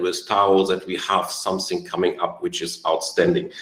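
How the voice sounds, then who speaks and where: Over noticeable background noise, a man talks at a moderate pace with a non-native accent. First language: not English. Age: 40s. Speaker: network marketing leader. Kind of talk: online training webinar.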